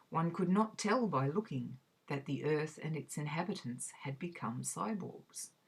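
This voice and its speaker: Somewhat breathy, a woman with an Australian accent speaks at a fairly slow pace. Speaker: reader. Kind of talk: academic essay reading.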